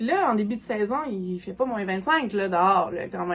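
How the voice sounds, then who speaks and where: A woman's intonation is lively as music plays in the background. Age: 40s. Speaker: gardening content creator. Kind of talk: casual tutorial monologue. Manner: fast; casual with many fillers.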